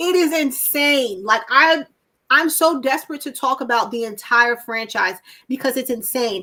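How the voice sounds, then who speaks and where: A woman's raised, projected voice has a high pitch and a bright, sharp tone. Her delivery is animated, with lively intonation at a moderate pace. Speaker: horror channel host. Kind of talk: casual chat. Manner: loud, animated.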